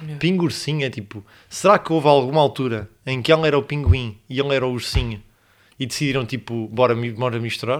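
Speaking with a European Portuguese accent, a man uses medium pitch and ordinary pitch variation. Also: fairly quick pace. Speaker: podcast co-host. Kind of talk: casual chat.

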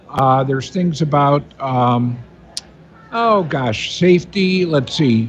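A man speaks with ordinary pitch variation. Noticeable background noise is audible. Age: 60s. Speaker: radio talk show host. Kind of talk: radio talk show. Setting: live remote broadcast at an expo lobby.

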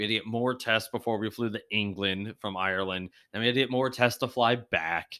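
In a very clean recording with a silent background, a man with an American accent talks at a fairly quick pace. His fairly low pitch has a bright, sharp tone and ordinary pitch variation. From Pennsylvania. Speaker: podcast co-host. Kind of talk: casual chat.

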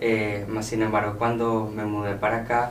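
With audible room echo and noticeable background noise, a man speaks at a moderate pace in a medium pitch, his intonation monotone and flat. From Venezuela, Caracas. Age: 20s. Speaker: entrepreneur and student. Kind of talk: interview. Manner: cheerful.

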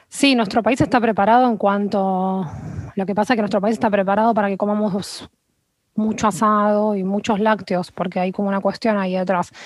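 This is an unremarkable speaking voice. It moves at a fairly quick pace. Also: woman, medium pitch for a woman. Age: 30s. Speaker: nutritionist. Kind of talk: interview conversation.

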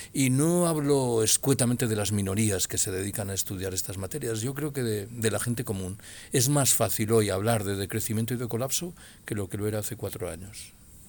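This is a man with an ordinary speaking voice at a medium pitch. He talks at a fairly quick pace with ordinary pitch variation. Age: 60s. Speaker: retired political science professor and author. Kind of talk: interview.

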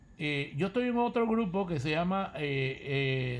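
Here a man speaks at a fairly slow pace. His fairly high voice has lively intonation. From Panama. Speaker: retired salesman and former consul. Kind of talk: casual chat. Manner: soft-spoken; halting.

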